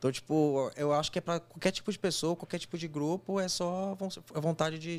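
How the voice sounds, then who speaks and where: A man with a plain, everyday voice speaks at a fairly quick pace with fairly even intonation. The recording is very clean, with a silent background. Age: 20s. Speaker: engineer and job candidate. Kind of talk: casual interview.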